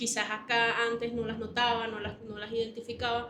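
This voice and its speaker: A woman speaks over noticeable background noise. The room adds an audible echo. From Venezuela. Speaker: leadership coach. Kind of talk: interview. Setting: library.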